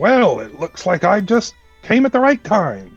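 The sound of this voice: Faint music plays behind a man doing a put-on character voice, high-pitched and at a moderate pace.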